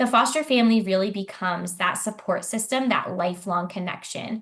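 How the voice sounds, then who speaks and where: A woman talks at medium pitch and a moderate pace. The background is quiet. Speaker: foster care agency staff presenter. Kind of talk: online info session presentation. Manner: hesitant with frequent ums.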